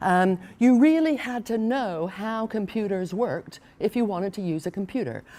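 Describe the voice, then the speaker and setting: A woman with a dark, mellow tone at medium pitch speaks at a moderate pace with lively intonation. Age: 60s. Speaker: professor. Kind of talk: keynote lecture. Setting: conference stage with audience, seated. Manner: conversational with frequent fillers.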